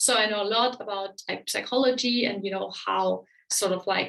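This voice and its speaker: With a German accent, a woman talks at a moderate pace and with fairly even intonation. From Germany. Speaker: relationship coach. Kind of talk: webinar presentation. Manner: casual with many fillers.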